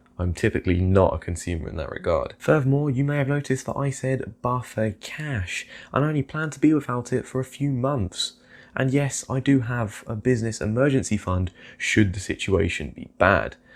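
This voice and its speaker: This man has a British accent and a medium pitch. He speaks at a moderate pace with lively intonation. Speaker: investing youtuber. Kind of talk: casual vlog commentary.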